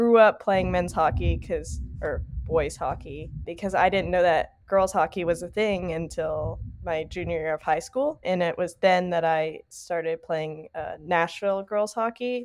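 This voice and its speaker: A woman speaks with a Southern US accent in a fairly low voice, barely pausing. The background is quiet. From Tennessee. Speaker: college hockey club president. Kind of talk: casual interview.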